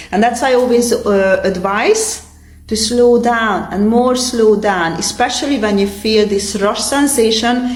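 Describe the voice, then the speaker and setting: A woman with a Hungarian accent at a moderate pace and fairly even intonation, with audible room echo and noticeable background noise. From Transylvania, Romania (Hungarian community). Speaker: yoga teacher. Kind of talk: tutorial; casual chat.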